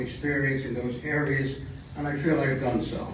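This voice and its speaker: Speaking fairly quickly in a fairly even tone, a man is heard with audible room echo and noticeable noise in the background. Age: 80s+. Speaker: community election candidate. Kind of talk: campaign speech. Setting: community meeting with microphone. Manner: halting, with repetitions.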